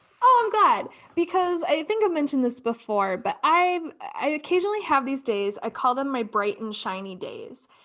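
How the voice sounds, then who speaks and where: A high-pitched woman's voice sweeps through very wide pitch swings over noticeable background noise. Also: moderate pace. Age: 30s. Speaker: podcast co-host. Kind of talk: casual chat.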